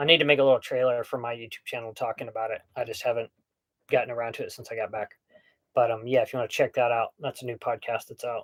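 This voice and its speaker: Speaking at a very fast pace with an American accent, a man's voice shows big swings in loudness. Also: dry, close sound with no echo. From US Southwest (Hobbs, New Mexico). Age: 40s. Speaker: sailing YouTuber. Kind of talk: live stream Q&A, casual chat. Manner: casual, filler-heavy.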